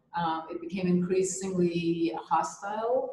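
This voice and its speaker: A speaker with an American accent talks at a fairly slow pace. Audible room echo and light background noise are present. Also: woman. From Israel, raised partly in US (Georgia) and Europe. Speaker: artist. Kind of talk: interview. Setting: video call. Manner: hesitant, many fillers. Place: home room. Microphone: video call.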